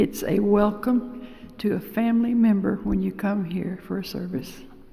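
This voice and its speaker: A woman's fairly high-pitched voice comes across with audible room echo. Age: 80s+. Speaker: lay church member giving homily. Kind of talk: homily. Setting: church. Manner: halting.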